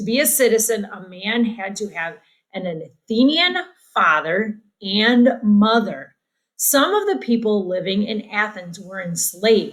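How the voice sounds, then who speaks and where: Using an unremarkable speaking voice, a woman with a fairly high pitch talks at a fairly slow pace with lively intonation and big swings in loudness. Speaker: teacher. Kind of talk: recorded lesson, reading a textbook aloud and discussing it.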